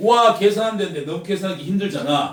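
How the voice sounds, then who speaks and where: A man with a high voice speaks loudly, his pitch varying normally, with audible echo from the room. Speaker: math tutor. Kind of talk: lecture.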